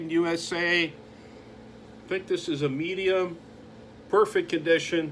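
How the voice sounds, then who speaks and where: A man talks at a fairly slow pace in a voice pitched high for a man. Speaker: vintage clothing dealer. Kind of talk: product showcase.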